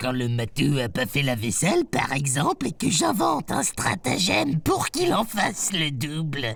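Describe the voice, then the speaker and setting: Someone does a put-on character voice at a low-to-middle pitch, with music in the background. The moderate pace leaves hardly any pauses. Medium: read story. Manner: chatty, teasing, colloquial.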